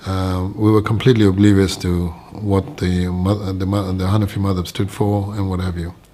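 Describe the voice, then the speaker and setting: Hardly pausing, a man with a very deep, low pitch speaks in a monotone, flat way at a moderate pace over noticeable background noise. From Kenya, Nairobi. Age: 60s. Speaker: religious convert. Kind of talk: testimony. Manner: hesitant, many fillers.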